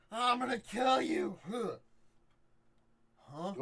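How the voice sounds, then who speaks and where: The man is doing a put-on character voice. It sits extremely high in pitch. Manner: threatening, slurred.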